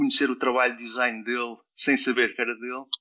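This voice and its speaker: Here a man talks with a European Portuguese accent. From Portugal (Mozambique, Alentejo, Algarve). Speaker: designer and university lecturer. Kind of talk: interview. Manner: halting, many repetitions and fillers.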